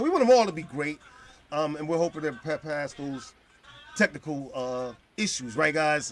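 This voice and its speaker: Loud and animated in tone, a man speaks over noticeable background noise. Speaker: podcast host. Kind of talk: casual chat.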